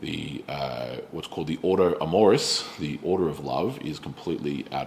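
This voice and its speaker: With an Australian accent, a man talks in a very deep, low pitch with ordinary pitch variation. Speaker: pastor. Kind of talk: bible study teaching. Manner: casual with many fillers.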